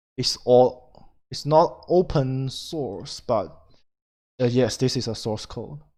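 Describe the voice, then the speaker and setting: In a very clean recording with a silent background, a man with a non-native accent and a dark, mellow tone speaks at a medium pitch and a very slow pace, with long, frequent pauses, big swings in loudness and ordinary pitch variation. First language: not English. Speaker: indie game developer. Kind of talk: screen-recorded tutorial. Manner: halting, many fillers.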